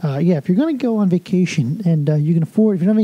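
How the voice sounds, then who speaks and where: Speaking very fast in an American accent, a man with a high voice uses lively intonation. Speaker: podcast host. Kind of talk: casual solo podcast Q&A. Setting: hotel room. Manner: hesitant with many fillers.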